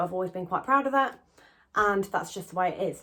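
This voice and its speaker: A woman with an English accent talks very fast at a medium pitch. Her tone is bright and sharp, and her intonation is lively. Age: 20s. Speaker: YouTuber. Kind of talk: casual chat.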